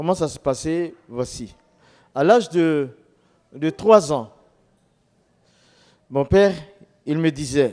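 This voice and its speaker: Fairly high male voice at a very slow pace, with lively intonation. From Ivory Coast. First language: local Ivorian language (speaking French). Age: 60s. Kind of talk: testimony.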